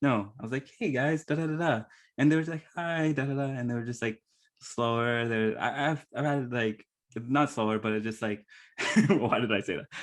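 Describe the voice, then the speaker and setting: Over a quiet background, a man with a plain, everyday voice talks at a moderate pace and medium pitch with ordinary pitch variation. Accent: Canadian. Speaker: podcast host. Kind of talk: interview testimony.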